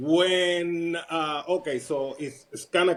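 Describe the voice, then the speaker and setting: A man with a Puerto Rican accent speaks in a high pitch. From Puerto Rico. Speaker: retired army sergeant. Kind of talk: casual interview.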